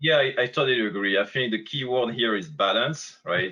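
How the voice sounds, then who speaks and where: A man talks at a moderate pace with a strong French accent. His pitch sits in the medium range. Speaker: company representative on a panel. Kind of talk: webinar Q&A panel. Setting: online webinar. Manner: halting, many fillers.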